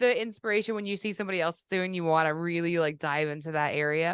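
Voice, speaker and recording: Against a quiet background, a woman talks at a fairly quick pace in a medium pitch. Her pitch variation is ordinary. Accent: Boston. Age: 40s. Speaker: podcast host, carver. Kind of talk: casual chat.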